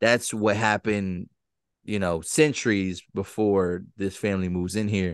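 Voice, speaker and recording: An ordinary speaking voice at a moderate pace, with fairly even intonation, a dry sound with no echo, and a quiet background. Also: man. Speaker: podcast host. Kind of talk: casual podcast recap chat. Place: studio. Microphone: studio mic.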